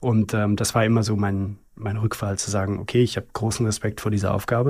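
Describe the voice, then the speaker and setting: Delivery runs at a fairly quick pace with fairly even intonation. The voice is somewhat breathy. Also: man. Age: 40s. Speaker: luxury watch company CEO. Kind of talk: interview conversation. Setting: company podcast studio. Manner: fluent, articulate.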